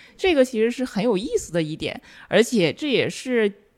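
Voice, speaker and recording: On a very clean recording with a silent background, a woman with a high pitch speaks at a moderate pace, her pitch swinging very widely. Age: young. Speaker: film and media researcher. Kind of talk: casual chat.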